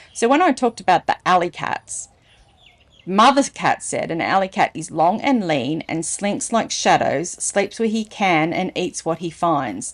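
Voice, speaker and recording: Speaking at a fairly slow pace in an Australian accent, a woman uses a playful tone, a medium pitch and very wide pitch swings. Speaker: storyteller, reader. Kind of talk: children's story reading with casual asides. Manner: chatty, playful.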